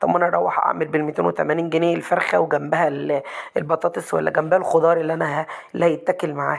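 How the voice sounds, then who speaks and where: A woman speaks at a fairly quick pace in an Egyptian accent. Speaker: cooking channel host. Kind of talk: cooking tutorial. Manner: fast.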